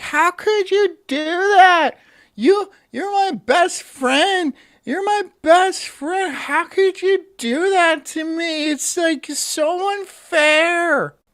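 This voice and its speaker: A man's put-on character voice, whiny and extremely high-pitched, at a very slow pace, in a very clean recording with a silent background. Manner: whiny, complaining.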